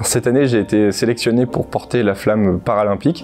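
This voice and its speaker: The man speaks at a moderate pace. His pitch varies in an ordinary way. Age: 20s. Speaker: sailor and patient advocate. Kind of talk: interview testimony. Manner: hesitant, many fillers.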